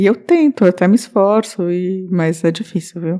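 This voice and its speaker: Soft-spoken, the voice moves at a moderate pace with ordinary pitch variation. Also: woman. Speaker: podcast co-host. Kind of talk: casual chat. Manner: mumbling, speaks inward.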